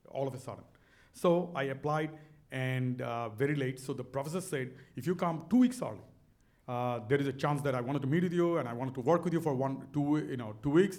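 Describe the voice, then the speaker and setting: With audible room echo, a man in a Bangladeshi accent talks fairly quickly at a fairly high pitch, showing ordinary pitch variation. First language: Bengali. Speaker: business author and speaker. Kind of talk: onstage interview. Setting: stage with audience. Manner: animated.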